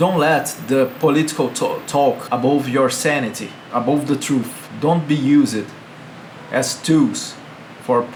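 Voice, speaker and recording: With a Brazilian Portuguese accent, a man talks fairly slowly with fairly even intonation and very even loudness, amid audible room echo and noticeable background noise. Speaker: video blogger. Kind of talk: political commentary monologue. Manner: halting.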